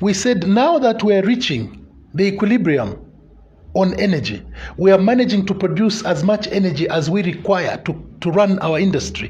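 Here a man talks with a high pitch and ordinary pitch variation. His pace is moderate. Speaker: politician guest. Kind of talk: interview answer. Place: studio. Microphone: lapel.

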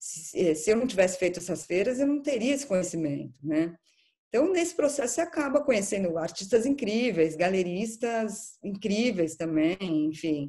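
A woman speaks in a dark, mellow, somewhat breathy voice with very wide pitch swings. The background is quiet. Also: moderate pace. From Brazil, São Paulo. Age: 40s. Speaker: art curator; interviewee. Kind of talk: interview. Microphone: video call.

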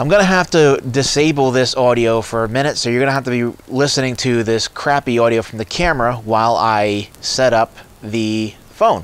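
A man at a moderate pace, ordinary pitch variation, dry sound with no echo. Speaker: product reviewer. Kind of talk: tutorial. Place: garden. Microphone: lapel.

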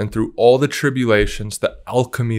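Against a quiet background, a man speaks in an enthusiastic tone at a fairly quick pace. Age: 20s. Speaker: interviewer. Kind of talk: interview. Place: studio. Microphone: studio mic.

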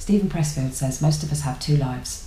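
In an English accent, a woman with a very deep, low pitch talks at a moderate pace amid audible room echo. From England. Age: 30s. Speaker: YouTuber; vlogger. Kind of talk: casual vlog monologue. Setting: at home. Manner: halting. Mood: reflective, thoughtful. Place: home room. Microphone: webcam.

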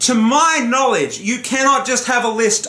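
A man's raised, projected voice with ordinary pitch variation and audible room echo. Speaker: gaming YouTuber. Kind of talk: profanity-laced solo rant to camera about a console's slow interface. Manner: exasperated, swearing explosively; heated and ranting, building frustration. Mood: annoyed, ranting, swearing. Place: home room. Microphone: camera far.

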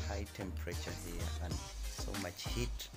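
Fairly slow speech over clear background music. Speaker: travel vlogger. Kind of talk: casual vlog chat. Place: bus. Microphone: phone near.

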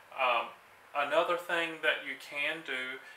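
With light background noise and audible room echo, a man speaks at a fairly slow pace. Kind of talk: tutorial. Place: workshop.

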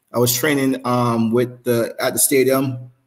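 Someone speaks with a Jamaican accent over a quiet background. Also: man. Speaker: former sprinter; interview guest, former coach. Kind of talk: casual interview. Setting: live stream. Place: home room.

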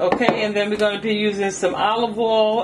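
There is noticeable noise in the background. A woman talks over it. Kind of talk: cooking tutorial. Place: kitchen. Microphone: camera far.

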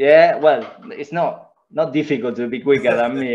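A man speaks with an Argentine accent. His pitch is fairly high. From Argentina. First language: Spanish. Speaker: former footballer and coach. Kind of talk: casual interview. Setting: video call. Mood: relaxed, reflective. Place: home room. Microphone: video call.

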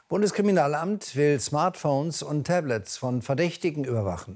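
A man speaks at a moderate speed, his intonation lively. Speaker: news anchor and chief presenter. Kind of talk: TV news bulletin read. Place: studio.

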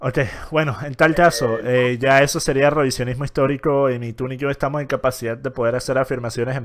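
At a very fast pace, a man with a medium-pitched voice and a Venezuelan accent speaks with fairly even intonation. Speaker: YouTuber debate host. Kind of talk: heated debate.

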